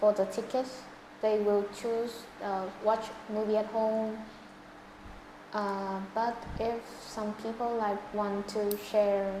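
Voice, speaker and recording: A woman with a Vietnamese accent speaks at a very slow pace with long, frequent pauses, a fairly high pitch and monotone, flat intonation, amid noticeable background noise and audible room echo. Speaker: English test candidate. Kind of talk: speaking exam interview. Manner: halting.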